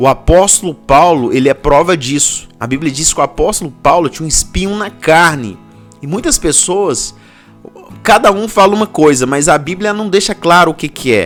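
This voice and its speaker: Music plays in the background as a man speaks. His voice is fairly high, with lively intonation. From Belo Horizonte, Minas Gerais, Brazil. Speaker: pastor. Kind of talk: sermon talk to camera. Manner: casual, informal.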